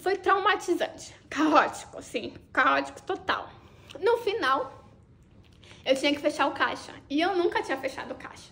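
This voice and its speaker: A woman's raised, projected voice, extremely high in pitch, with an animated tone, lively intonation, and a fairly slow pace. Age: 30s. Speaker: vlogger. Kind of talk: personal storytelling vlog. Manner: casual, animated.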